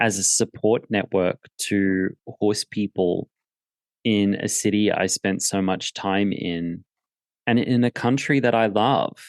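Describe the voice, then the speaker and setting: This man's pitch is fairly low and his intonation fairly even as he speaks at a very slow pace. The sound is dry and close with no echo, and the background is quiet. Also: very even loudness. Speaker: podcast host, horse trainer. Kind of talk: conversational podcast talk.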